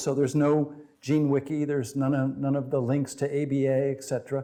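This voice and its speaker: A man speaks at a fairly high pitch in a dark, mellow tone. His pace is moderate. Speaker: professor. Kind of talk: lecture. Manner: loud.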